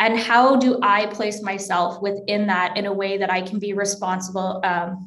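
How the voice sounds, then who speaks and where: The delivery comes at a moderate pace with fairly even intonation. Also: woman. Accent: western Canadian. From Alberta, Canada (small town near Edmonton). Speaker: academic librarian; presenter. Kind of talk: lecture. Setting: video call. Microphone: webcam.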